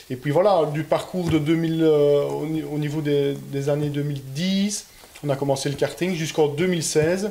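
Speaking at a very slow pace, a man keeps a fairly high pitch and fairly even intonation. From Belgium. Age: 20s. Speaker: rally driver. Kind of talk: interview. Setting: car dealership building. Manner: halting. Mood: relaxed, friendly.

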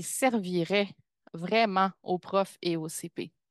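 Against a quiet background, a woman with a Quebec accent speaks at a medium pitch with ordinary pitch variation, the sound dry and close with no echo. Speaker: pedagogical counsellor, community of practice facilitator. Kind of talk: webinar presentation. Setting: video call webinar with screen sharing.

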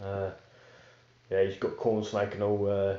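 A fairly low-pitched man with flat, monotone intonation and audible room echo.

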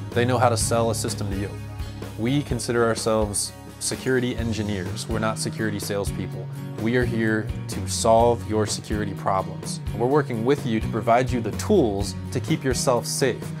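A man at a moderate pace with ordinary pitch variation, clear music playing in the background. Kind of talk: promotional talk to camera. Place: studio.

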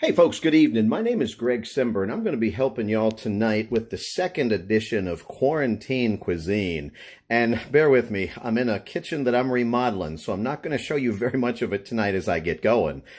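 A man talks at a fairly quick pace, with a quiet background around him. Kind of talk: tutorial. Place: kitchen.

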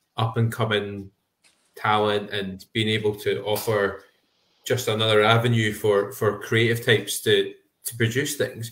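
With a Scottish accent, a man speaks at a moderate pace in a fairly low pitch, his intonation monotone and flat. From Scotland. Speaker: podcast co-host. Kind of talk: casual chat. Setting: video call. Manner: halting.

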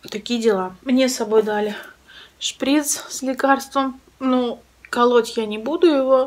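A woman speaks at a very slow pace in a high voice. Her tone is weary and strained. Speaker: vlogger. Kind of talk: casual vlog chat. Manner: weary, strained voice of a sick woman. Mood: complaining, a bit upset. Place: home room. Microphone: phone near.

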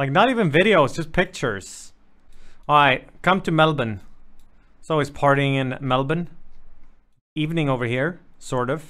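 Against a quiet background, the speech moves at a moderate pace with long, frequent pauses and ordinary pitch variation. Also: man. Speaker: live streamer. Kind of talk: reaction commentary. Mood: sarcastic joking. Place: home room. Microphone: studio mic.

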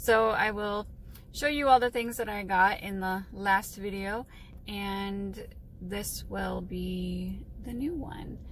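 A woman speaks at a very slow pace. The sound is dry with no echo, and there is light background noise. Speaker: reseller vlogger. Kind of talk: casual vlog chat. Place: car. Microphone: phone near.

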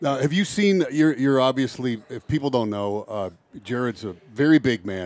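At a moderate pace, a man with an American accent talks with lively intonation, recorded dry with no echo. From Michigan, Downriver Detroit; Michigan. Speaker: radio host. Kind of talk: radio interview. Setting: on location at training camp. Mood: jovial, joking. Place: tent. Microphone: headset.

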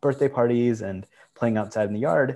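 At a fairly quick pace, a man speaks in a dark, mellow tone with ordinary pitch variation. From Michigan, US. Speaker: archive nonprofit director. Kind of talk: panel talk. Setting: video call. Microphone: video call.

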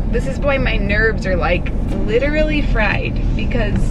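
A woman at a fairly slow pace against loud background noise. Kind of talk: casual vlog chat. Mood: stressed, worried. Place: car. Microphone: phone near.

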